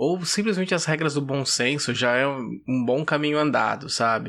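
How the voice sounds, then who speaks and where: A man with a plain, everyday voice speaks at a fairly slow pace with ordinary pitch variation. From Brazil, Vinhedo, São Paulo state. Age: 30s. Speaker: podcast guest. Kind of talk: casual chat.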